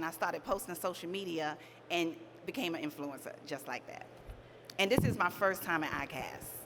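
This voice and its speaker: A woman's fairly low voice with an American accent, lively intonation and a fairly quick pace. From New York. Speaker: fishing influencer. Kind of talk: panel self-introduction. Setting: stage with audience. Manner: fast.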